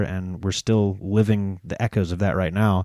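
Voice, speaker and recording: In an American accent, a man speaks at a moderate pace with a fairly low pitch and a dark, mellow tone, recorded very cleanly with a silent background and a dry, close sound with no echo. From Florida, Dunedin. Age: 30s. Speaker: paratrooper and WWII reenactor. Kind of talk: casual chat. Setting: studio.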